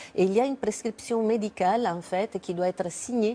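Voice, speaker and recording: A slight Italian accent colors this dark, mellow tone, delivered at a moderate pace. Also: woman. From Italy. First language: Italian (speaking French). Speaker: cancer researcher. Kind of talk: TV interview.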